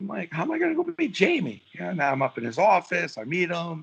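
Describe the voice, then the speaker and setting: A man with a New York accent at a very fast pace, in a dry, close sound with no echo. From New York City (Brooklyn). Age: 60s. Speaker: sports marketer and author. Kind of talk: casual podcast interview. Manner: animated.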